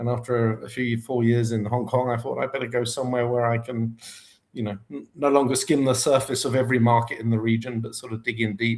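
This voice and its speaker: In monotone, flat intonation, a man speaks at a medium pitch. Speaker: market research consultant. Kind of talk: interview. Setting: live online stream.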